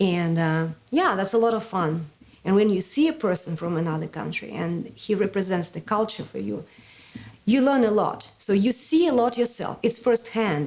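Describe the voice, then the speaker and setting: With a Russian accent, a woman speaks at a moderate pace and medium pitch, her intonation lively. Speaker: sister city organizer. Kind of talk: interview.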